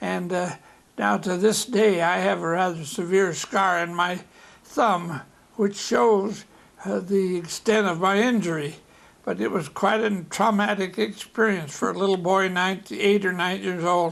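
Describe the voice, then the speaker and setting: A man with an American accent, high pitch, fairly slow pace and ordinary pitch variation. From US Midwest, Omaha, Nebraska. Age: 90s. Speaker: elderly interviewee telling life stories. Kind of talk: oral history interview. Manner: halting, with repetitions and false starts.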